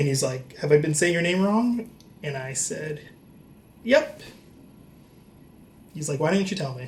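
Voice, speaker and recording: Against audible room echo, a man with a fairly high pitch and lively intonation speaks at a moderate pace with long, frequent pauses. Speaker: comedian. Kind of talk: comedic storytelling vlog. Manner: loud; animated.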